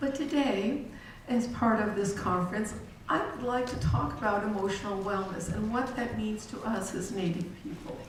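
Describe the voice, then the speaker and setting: A woman's fairly high voice with an American accent, ordinary pitch variation and a moderate pace, plus audible room echo and noticeable background noise. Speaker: conference speaker on Native wellness. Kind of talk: talk / presentation. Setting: conference hall with PA speaker.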